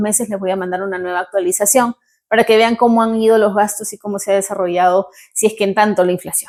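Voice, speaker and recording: Speaking at a very fast pace in a Peruvian accent, a woman uses a medium pitch with ordinary pitch variation. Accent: Peruvian Spanish accent, kept. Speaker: vlogger. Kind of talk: vlog talk to camera. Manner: animated.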